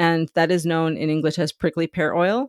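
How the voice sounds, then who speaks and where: With an American accent and a normal speaking voice, a woman talks at a moderate pace and a fairly low pitch, in a very clean recording with a silent background and a dry, close sound with no echo. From US Southwest, San Diego near Mexican border. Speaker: business founder and mentor. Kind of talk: interview.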